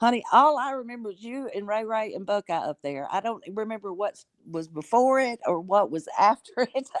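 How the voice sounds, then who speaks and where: A woman with an unremarkable speaking voice, fairly high pitch and lively intonation, talking at a fairly quick pace with hardly any pauses and big swings in loudness, in a dry, close sound with no echo. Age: 60s. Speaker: live stream panelist. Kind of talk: casual chat.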